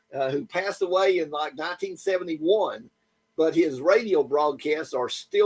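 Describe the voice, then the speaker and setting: A man with an East Tennessee accent, fairly high in pitch, at a moderate pace, with ordinary pitch variation. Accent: Southern US (East Tennessee). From US South, East Tennessee (Lenoir City). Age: 70s. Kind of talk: casual chat.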